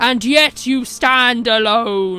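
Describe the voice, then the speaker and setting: A woman uses a put-on character voice at a fairly high pitch, with faint music in the background. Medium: read story. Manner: menacing, contemptuous.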